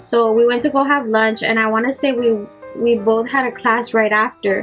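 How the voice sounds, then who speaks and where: Against noticeable background noise, a woman with a slight Spanish accent speaks at a moderate pace, her fairly high pitch held in fairly even intonation. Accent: barely noticeable Spanish. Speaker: beauty vlogger. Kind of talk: casual get-ready-with-me storytelling.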